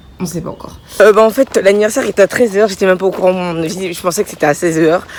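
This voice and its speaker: Over noticeable background noise, a woman with a medium pitch talks at a very fast pace, her loudness swinging widely and her pitch varying in an ordinary way. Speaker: vlogger. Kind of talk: casual vlog.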